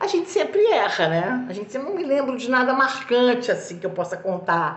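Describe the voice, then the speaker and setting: Over noticeable background noise, a woman talks in an animated tone at a moderate pace. Her pitch swings very widely, and she has a slight Minas Gerais accent. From Brazil, Minas Gerais. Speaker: actress. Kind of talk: interview answers, anecdotal. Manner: animated, hesitant with fillers.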